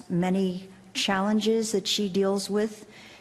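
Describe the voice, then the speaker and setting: A woman's medium-pitched voice with an American accent, with audible room echo. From USA. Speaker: professor and panel chair. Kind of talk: panel introduction. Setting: conference stage with audience.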